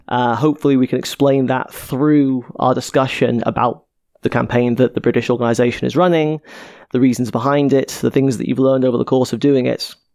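Speaking at a fairly quick pace, a man keeps a medium pitch with monotone, flat intonation. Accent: Welsh. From Wales, Cardiff. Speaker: podcast host. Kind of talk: casual chat.

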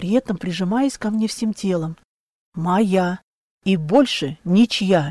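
The surroundings are quiet. An unforced reading voice carries ordinary rises and falls in pitch.

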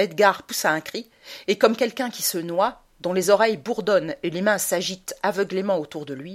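Plainly read text, pitch varying in ordinary fashion

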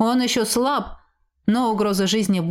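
In a natural reading voice, the speaker is heard over a quiet background.

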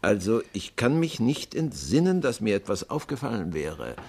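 Putting on a character voice, a man speaks at a moderate pace in a fairly low pitch with big pitch swings, a slightly mellow tone and a slightly husky edge.

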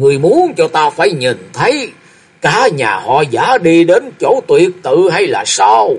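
Putting on a character voice, a man talks at a fairly slow pace in a fairly high pitch with a slightly husky edge and very wide pitch swings.

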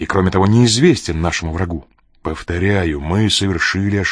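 Reading aloud in a natural voice, with pitch shifting in an ordinary way

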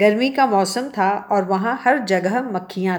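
This unforced reading voice carries ordinary pitch variation.

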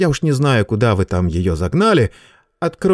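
Reading aloud in a natural voice, the speaker is heard with a quiet background.

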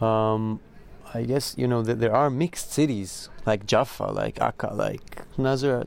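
Speaking with an Israeli accent, a man talks at a fairly slow pace in a medium pitch with fairly even intonation. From Israel, Zichron Yaakov. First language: Hebrew. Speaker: musician. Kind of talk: interview. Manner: halting.

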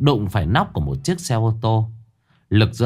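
Over a quiet background, the text is read aloud in a natural voice with lively intonation.

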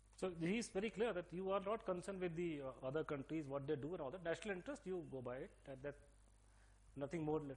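A man with a Delhi accent, high-pitched and very fast. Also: ordinary pitch variation. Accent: typical Delhi. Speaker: speaker giving a talk. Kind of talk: lecture.

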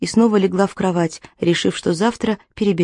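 Over a quiet background, the speaker reads in an unforced reading voice.

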